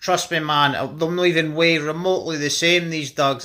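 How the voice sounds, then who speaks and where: A man with a Scottish accent speaks at a fairly high pitch with fairly even intonation. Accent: Scottish (Fife). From Scotland, Fife. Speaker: dog owner vlogger. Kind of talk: casual vlog talk.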